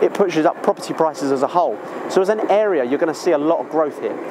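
A man talks at a fairly quick pace with lively intonation. The sound is dry with no echo, and background noise is noticeable. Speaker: presenter. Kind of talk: presenter talk to camera. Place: station.

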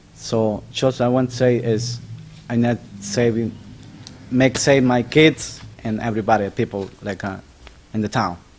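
Speaking with a non-native accent, the voice keeps a fairly even intonation and leaves long, frequent pauses. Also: man, medium pitch for a man, moderate pace. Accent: non-native English speaker. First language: not English. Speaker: local homeowner giving public comment. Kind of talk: public comment. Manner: halting, broken English.

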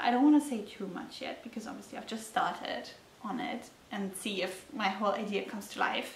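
A woman with a German accent and a fairly high pitch, light background noise and audible room echo. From Germany. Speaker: knitting podcaster. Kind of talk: casual solo vlog talk. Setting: talking to a camera at home. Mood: calm, friendly. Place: home room.

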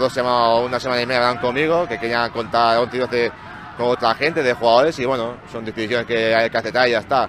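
A man at a very fast pace with hardly any pauses, a dry sound with no echo, and noticeable background noise. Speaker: football player. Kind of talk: post-match interview. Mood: calm, resigned yet hopeful. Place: stadium. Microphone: handheld.

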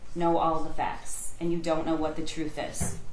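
A woman speaks at a moderate pace with fairly even intonation against noticeable background noise. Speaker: prosecutor. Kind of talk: courtroom closing argument to a jury. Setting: courtroom. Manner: earnest, measured, formal. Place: hall.

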